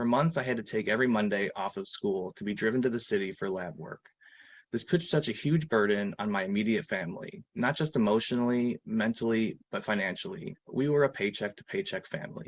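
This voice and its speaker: An ordinary speaking voice with an American accent, at a fairly quick pace with lively intonation. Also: man, medium pitch for a man. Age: 30s. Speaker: patient advocate. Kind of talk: testimony. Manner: formal.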